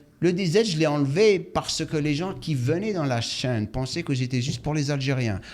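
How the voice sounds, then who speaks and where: Talking at a moderate pace, a man with a non-native accent uses a fairly high pitch and lively intonation. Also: hardly any pauses, big swings in loudness. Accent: non-native French, imperfect. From Algeria. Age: 60s. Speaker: fitness coach and YouTuber, former pro bodybuilder. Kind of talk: interview.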